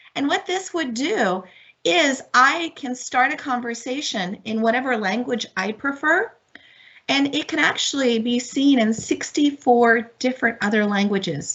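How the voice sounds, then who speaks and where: A woman's high-pitched voice with a Spanish accent and lively intonation. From Miami, Florida. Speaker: professor and online learning speaker. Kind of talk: webinar tutorial demonstration. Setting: video call webinar. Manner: animated, enthusiastic.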